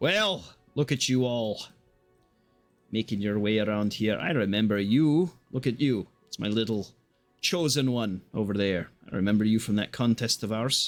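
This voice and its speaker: A man puts on a booming character voice at medium pitch. He keeps a moderate pace over faint background music. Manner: commanding, teasing.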